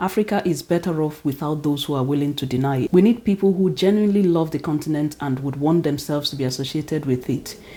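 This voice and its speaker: A woman's very deep, low voice in a Nigerian accent, dark and mellow in tone, at a very fast pace with hardly any pauses and ordinary pitch variation. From Nigeria (Igbo). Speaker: teacher and vlogger. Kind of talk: opinion vlog monologue.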